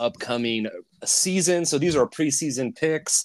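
The recording is very clean, with a silent background. A man with a fairly high pitch speaks at a moderate pace with lively intonation. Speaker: podcast host. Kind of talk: casual sports podcast chat. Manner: chatty, enthusiastic, with many filler words.

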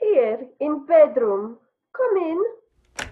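A woman's put-on character voice, high in pitch, very slow, with big pitch swings

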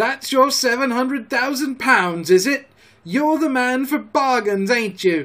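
A man puts on a character voice at an extremely high pitch, with a fairly bright tone, lively intonation and a slow pace.

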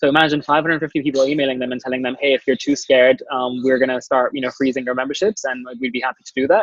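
A very fast pace with fairly even intonation and hardly any pauses. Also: man, medium pitch for a man. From Dubai. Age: 20s. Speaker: startup founder. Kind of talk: interview. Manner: hesitant, many fillers.

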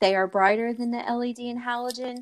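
This is an ordinary speaking voice, a woman's at a fairly high pitch. Her intonation stays fairly even. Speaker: podcast co-host. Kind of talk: casual chat.

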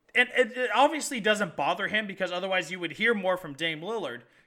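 Raised and projected, a man's high-pitched voice races at a very fast pace with lively intonation, an animated, passionate tone and a bright, sharp tone. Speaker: sports podcast co-host. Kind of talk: sports talk show chat. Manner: animated, passionate, rapid.

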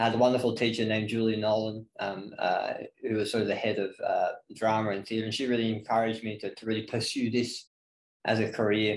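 Very fast and flat, a man with an Australian accent talks at a medium pitch in a monotone. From Northeast Victoria, Australia. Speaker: gym head coach. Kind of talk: casual interview.

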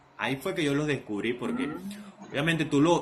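A man's voice with a fairly high pitch. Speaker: podcast co-host, DJ. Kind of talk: casual chat.

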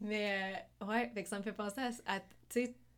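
A woman speaks in a normal speaking voice at a medium pitch. She keeps a fairly slow pace and fairly even intonation. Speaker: podcast host. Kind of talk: casual interview.

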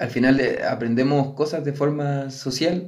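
Speaking at a fairly slow pace, a man with a medium pitch and a dark, mellow tone is heard in a room with audible echo. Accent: Chilean. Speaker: podcast co-host. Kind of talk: casual chat.

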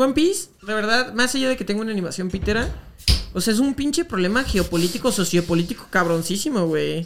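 Delivered at a very fast pace with lively intonation, the speech sits over noticeable background noise. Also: man, high pitch for a man. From Jalisco, Mexico (Guadalajara). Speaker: meme page creator. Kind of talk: casual chat.

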